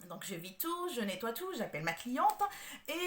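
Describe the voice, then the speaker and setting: A woman speaks at a moderate pace with very wide pitch swings. There is noticeable background noise. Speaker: home organizer. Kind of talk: tutorial. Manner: halting, many hesitations.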